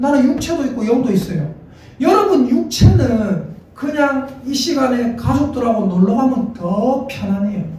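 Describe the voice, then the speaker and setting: Animated tone and lively intonation at a moderate pace, with audible room echo. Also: man. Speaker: pastor. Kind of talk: sermon. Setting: church. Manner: animated, repetitive call-and-response.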